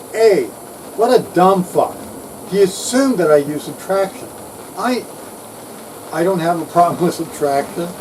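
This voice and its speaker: At a moderate pace with long, frequent pauses, a man speaks at a high pitch with ordinary pitch variation over noticeable background noise. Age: 60s. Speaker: retired electronics engineer. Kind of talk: casual vlog rant. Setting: outdoors on houseboat deck.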